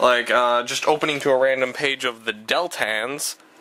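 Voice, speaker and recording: A man talks with ordinary pitch variation and a medium pitch, keeping a moderate pace against noticeable background noise. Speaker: vlogger. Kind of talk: casual vlog monologue. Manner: hesitant, many fillers.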